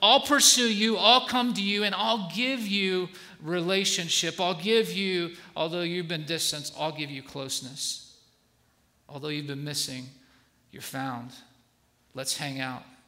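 A man with a high pitch and lively intonation at a fairly slow pace, with long, frequent pauses, big swings in loudness and audible room echo. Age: 40s. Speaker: guest pastor. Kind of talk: sermon. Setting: church stage with congregation.

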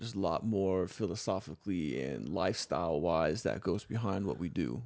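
The speaker has an American accent and some vocal fry. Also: man. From US South, South Florida (Palm Beach County). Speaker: parkour coach and former poet. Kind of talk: casual interview chat. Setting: studio.

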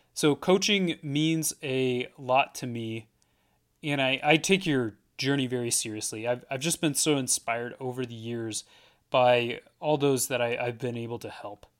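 A man with a West Coast accent at medium pitch, fairly slow, with ordinary pitch variation and big swings in loudness, in a very clean recording with a silent background. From Portland, Oregon. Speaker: life coach. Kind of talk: solo podcast monologue. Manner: repeats words, hesitant.

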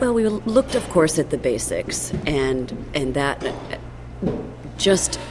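A woman's very slow speech comes through noticeable background noise. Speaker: cookbook author. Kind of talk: interview.

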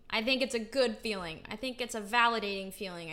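Her voice sits at a fairly high pitch, with a bright, sharp, upbeat tone and ordinary pitch variation. The recording of this woman is very clean, with a silent background. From Utah, US. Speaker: podcast host, actor and singer. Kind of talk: solo podcast monologue. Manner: casual, upbeat with frequent laughs.

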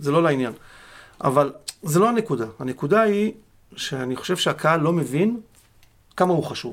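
The speaker uses lively intonation, broken up by long and frequent pauses. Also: man, fairly high pitch for a man, moderate pace. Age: 50s. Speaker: football club security officer. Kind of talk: casual interview. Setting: studio.

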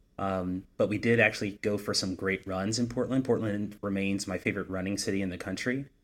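A man speaks with an American accent in a plain, everyday voice, fairly low in pitch. He goes at a fairly quick pace with hardly any pauses and fairly even intonation. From US Southeast. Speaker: podcast co-host. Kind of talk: casual chat. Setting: home office, remote recording.

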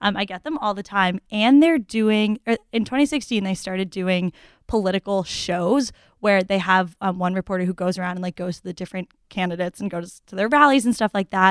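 In a normal speaking voice with an American accent, a woman talks at a fairly quick pace at medium pitch with ordinary pitch variation, in a very clean recording with a silent background and a dry, close sound with no echo. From Massachusetts (Newton). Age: 20s. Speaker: college student. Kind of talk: casual chat.

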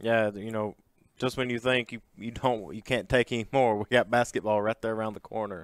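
Recorded very cleanly against a silent background, with a dry, close sound and no echo, a man in an ordinary speaking voice talks at a fairly quick pace and medium pitch with fairly even intonation. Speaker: sports podcast co-host. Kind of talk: sports podcast chat.

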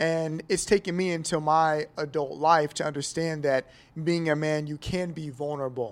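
On a very clean recording with a silent background, a man with an American accent and an unremarkable speaking voice talks at a moderate pace, his pitch fairly high and his intonation fairly even. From Kansas City, US Midwest. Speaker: barbershop client. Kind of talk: live panel discussion. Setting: hotel venue with live audience.

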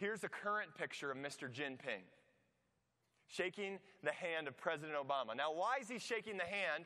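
With an American accent, a man speaks at a moderate pace in a high pitch, his tone bright and sharp and his intonation lively. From US Midwest (Iowa). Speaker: pastor. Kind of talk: sermon. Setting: church. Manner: halting.

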